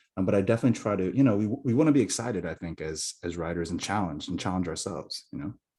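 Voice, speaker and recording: With an American accent, a man talks at a very fast pace with hardly any pauses, his very deep, low voice dark and mellow in tone and lively in intonation. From US, Korean American. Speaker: novelist. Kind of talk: casual chat. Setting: video call. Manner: fast, many fillers.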